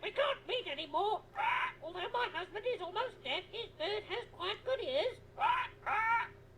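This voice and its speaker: Over clear background noise, someone uses a put-on character voice at an extremely high pitch and a moderate pace. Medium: video game. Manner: parroting, repetitive.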